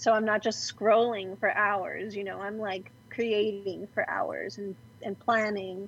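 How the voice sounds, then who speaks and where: A woman speaks with a Californian accent at a medium pitch, fairly slowly. Her intonation stays monotone and flat over a quiet background. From Los Angeles, raised in Glendale. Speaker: comic book artist. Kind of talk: casual chat.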